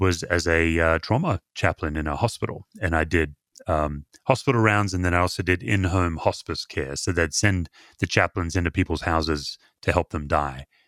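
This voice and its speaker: A man's very deep, low voice in an Australian accent, ordinary pitch variation and a moderate pace, dry and close with no echo on a very clean recording with a silent background. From Perth, Western Australia. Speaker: pastor and author. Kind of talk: casual interview chat.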